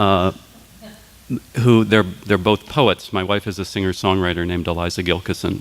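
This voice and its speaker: Over music in the background, a man with a very deep, low pitch talks at a moderate pace with fairly even intonation and long, frequent pauses. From North Dakota. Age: 50s. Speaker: professor. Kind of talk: talk to an audience. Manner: halting.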